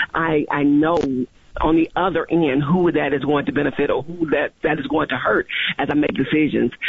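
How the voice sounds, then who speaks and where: A woman talks at a fairly quick pace in a very deep, low voice. Background noise is noticeable. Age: 40s. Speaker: county commissioner elect. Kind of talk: radio interview. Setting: phone call.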